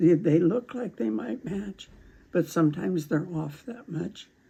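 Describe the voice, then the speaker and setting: Her voice is fairly low in pitch and somewhat breathy. The woman speaks at a fairly slow pace. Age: 80s+. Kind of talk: craft instruction demo.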